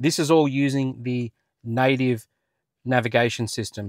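Against a quiet background, a man's voice comes across dry, with no echo. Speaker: car channel host. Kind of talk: tutorial. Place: car. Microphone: lapel.

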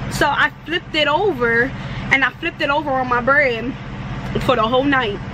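A woman talks at a moderate pace in a dry sound with no echo. Noticeable background noise runs underneath. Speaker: truck driver vlogger. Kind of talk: casual vlog chat. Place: car. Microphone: phone near.

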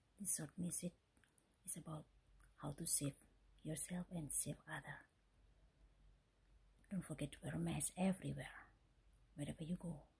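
A woman whispers at a moderate pace. Long, frequent pauses break up her speech. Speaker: vlogger. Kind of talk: casual talk to camera. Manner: whispered. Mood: friendly, smiling, earnest. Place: home room. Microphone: phone near.

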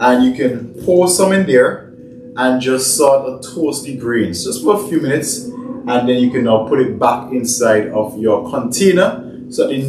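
Audible room echo and light background noise surround a man speaking at a moderate pace. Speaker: fitness cooking vlogger. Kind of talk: tutorial. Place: kitchen. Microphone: camera far.

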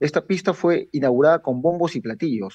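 The man talks at a moderate pace with ordinary pitch variation. The background is quiet. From Peru (Lima, Villa El Salvador); Peru. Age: 40s. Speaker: local political activist; guest. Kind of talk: interview. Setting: video call. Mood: critical, earnest. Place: home room. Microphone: video call.

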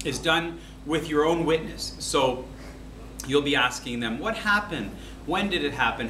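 The recording has audible room echo along with light background noise. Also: man. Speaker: teacher. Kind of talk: lecture. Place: classroom. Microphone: camera far.

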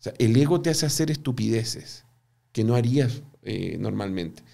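A man's dark, mellow voice with lively intonation over a quiet background. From Chile. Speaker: business professor and entrepreneur; business professor. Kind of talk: interview. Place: studio. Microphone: studio mic.

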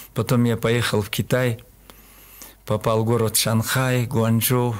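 Speaking at a very slow pace, the man has a medium pitch. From Kyrgyzstan, Talas region; Kyrgyzstan. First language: Kyrgyz (speaking Russian). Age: 70s. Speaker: qigong master; radio guest. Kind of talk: interview. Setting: studio. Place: studio. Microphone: studio mic.

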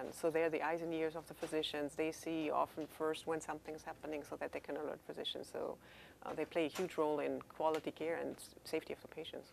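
A woman with a German accent at a very fast pace, with light background noise. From Germany. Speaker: chief nursing officer. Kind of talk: interview; interview answer. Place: office.

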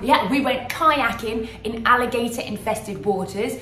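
A woman speaks at a moderate pace. Light background noise and audible room echo can be heard. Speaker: travel vlogger. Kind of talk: casual vlog chat. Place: home room. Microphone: phone near.

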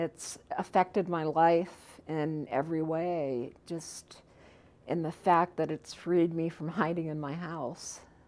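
Speaking at a very slow pace, a woman uses a fairly low pitch and fairly even intonation. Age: 50s. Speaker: dental patient. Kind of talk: testimonial interview answer. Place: studio.

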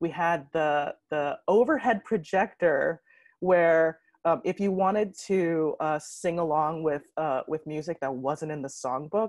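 With a dry sound and no echo, a woman speaks fairly slowly in a fairly low voice with ordinary pitch variation. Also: quiet background. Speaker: conference presenter. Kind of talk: conference talk. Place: home room. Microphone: earbuds.

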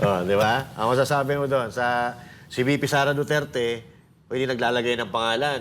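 A man speaks with an ordinary speaking voice. He keeps a fairly quick pace and fairly even intonation. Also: medium pitch for a man. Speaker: political commentator. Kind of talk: casual commentary.

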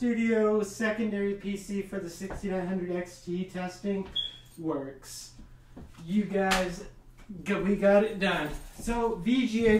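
The pace is very slow. Light background noise and audible room echo are present. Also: man, high pitch for a man. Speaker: tech YouTuber, PC builder. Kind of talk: tutorial with angry rant. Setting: studio. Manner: animated, ranting, exasperated; gloating, sarcastic.

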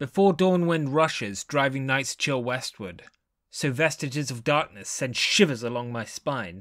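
A man with a plain, everyday voice, fairly high in pitch, lively in intonation, at a fairly slow pace. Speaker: voice actor. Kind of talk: poetry reading.

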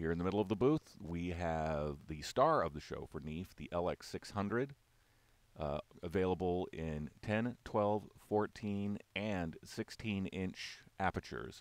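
A man's very deep, low voice at a very slow pace, the sound dry with no echo. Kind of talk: product walk-through commentary. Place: hall. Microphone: phone near.

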